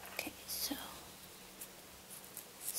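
A woman is speaking. She whispers. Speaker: ASMR creator. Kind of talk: ASMR whisper video. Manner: whispered, soft-spoken; soothing. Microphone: studio mic.

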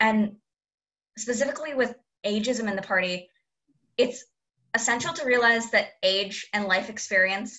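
A woman speaks at a moderate pace and medium pitch with a bright, sharp tone.

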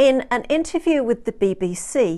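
With lively intonation, the speaker moves at a moderate pace in a dark, mellow tone. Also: woman.

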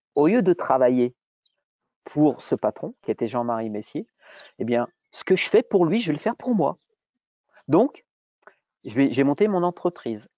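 Long, frequent pauses break up a man's speech at a fairly high pitch, with very wide pitch swings. The sound is dry with no echo. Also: moderate pace, quiet background. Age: 50s. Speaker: entrepreneur, former gym owner; guest. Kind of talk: webinar interview. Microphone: earbuds.

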